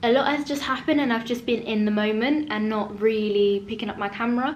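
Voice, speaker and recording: A woman talks fairly quickly in a fairly high pitch, with noticeable background noise behind her. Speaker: book vlogger. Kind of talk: casual vlog. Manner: animated.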